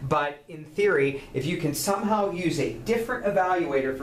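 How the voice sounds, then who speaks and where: A man is speaking. Noticeable background noise and audible room echo accompany his voice. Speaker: university lecturer. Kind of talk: recorded lecture. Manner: fast; halting with fillers and repeats.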